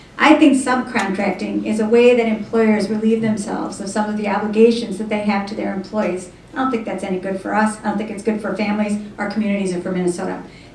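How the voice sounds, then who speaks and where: A woman with an American accent, medium in pitch, at a very fast pace, amid noticeable background noise and audible room echo. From Wisconsin, Janesville. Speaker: gubernatorial candidate. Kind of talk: political forum answer.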